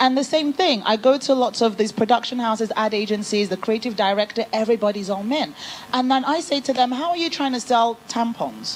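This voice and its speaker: A woman with an English accent, fairly high in pitch, at a fairly quick pace with ordinary pitch variation over noticeable background noise. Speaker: business founder, panel speaker. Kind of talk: panel discussion.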